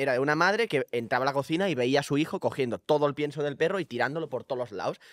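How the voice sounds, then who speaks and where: A man's fairly high voice at a very fast pace with hardly any pauses, in a dry sound with no echo against a quiet background. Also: ordinary pitch variation. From Spain, small village. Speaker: content creator. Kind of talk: casual chat. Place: studio. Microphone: studio mic.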